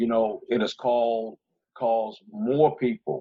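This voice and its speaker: In a Southern US accent, a man talks at a medium pitch. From Georgia, US South. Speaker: former police officer, sheriff candidate. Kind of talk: panel discussion.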